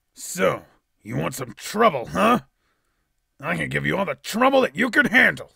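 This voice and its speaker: Using a put-on character voice, a man projects loudly at a moderate pace, leaving long, frequent pauses. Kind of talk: character voice demo.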